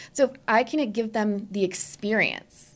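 In an American accent, a woman speaks with a normal speaking voice and ordinary pitch variation, on a very clean recording with a silent background. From New Jersey. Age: 30s. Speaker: portrait photographer. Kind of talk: interview conversation.

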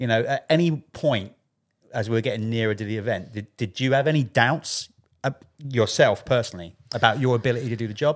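A man with a British accent, medium pitch, ordinary pitch variation and a fairly quick pace, in a very clean recording with a silent background. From UK. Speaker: podcast host, former motocross magazine writer. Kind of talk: casual chat.

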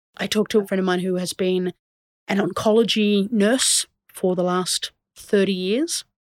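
This voice, an ordinary speaking voice, moves at a moderate pace with fairly even intonation in a dry, close sound with no echo. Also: woman, medium pitch for a woman. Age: 30s. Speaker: podcast host and playwright. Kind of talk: solo podcast monologue. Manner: casual, conversational.

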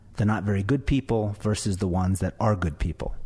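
This man has a fairly low pitch and a dark, mellow tone. His voice is somewhat breathy, with ordinary pitch variation. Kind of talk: angry rant, indignant talk-radio monologue. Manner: incredulous and sarcastic, with mounting outrage and rapid-fire rhetorical questions.

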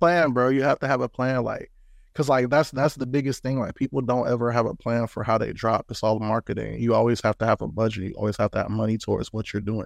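Someone with an American accent talks at a very fast pace against a quiet background. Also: man, medium pitch for a man, ordinary pitch variation, dry, close sound with no echo. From US Midwest, St. Louis and Decatur, Illinois. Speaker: rapper. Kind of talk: interview.

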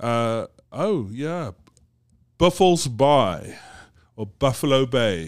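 Speaking very slowly at a medium pitch, a man uses very wide pitch swings and long, frequent pauses in a very clean recording with a silent background. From South Africa (Johannesburg). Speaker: business executive. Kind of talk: casual interview. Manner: halting, many repetitions.

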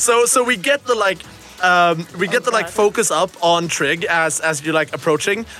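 Over music in the background, a man with a high pitch speaks at a moderate pace, with ordinary pitch variation and very even loudness. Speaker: game master and host of a tabletop roleplaying podcast. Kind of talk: tabletop roleplaying game session, casual chat. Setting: student radio studio.

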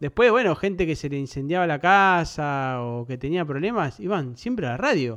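With an Argentine accent, the speaker moves at a moderate pace with hardly any pauses and very wide pitch swings over a quiet background. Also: man, fairly high pitch for a man. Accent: Argentine Spanish (rioplatense voseo). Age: 30s. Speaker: podcast host. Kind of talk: casual chat.

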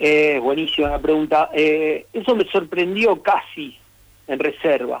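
Speaking very slowly in a Rosario accent, a man pauses long and often. His pitch is fairly high, with ordinary variation. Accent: Rosario Argentine Spanish, dropped s. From Argentina, Rosario. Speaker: former footballer. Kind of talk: radio interview.

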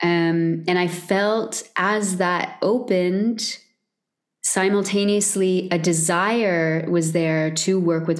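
A woman speaks at a very slow pace. Her loudness stays very even throughout. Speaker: vocal coach and singer. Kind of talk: casual interview chat.

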